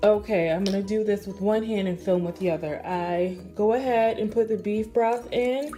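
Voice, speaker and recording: Noticeable background noise sits behind the woman, who talks fairly unhurriedly with ordinary pitch movement. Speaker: vlogger, mother. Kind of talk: cooking tutorial.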